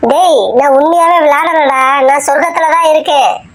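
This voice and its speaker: In a squeaky, cartoonish character voice, a woman speaks at a high pitch and a moderate pace with fairly even intonation. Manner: playful, gloating.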